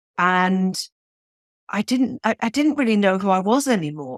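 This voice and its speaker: A woman with a British accent talks at a moderate pace with lively intonation. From Switzerland. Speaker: novelist. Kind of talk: interview.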